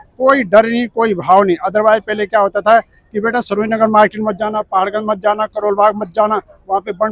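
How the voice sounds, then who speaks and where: A man at a high pitch, with a dry, close sound and no echo. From Uttarakhand, India. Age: 60s. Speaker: retired government clerk. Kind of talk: street interview. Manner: animated.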